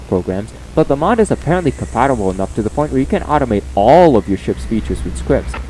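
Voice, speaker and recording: Someone speaks at a fairly quick pace over music in the background. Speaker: gaming YouTuber. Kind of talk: tutorial. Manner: halting.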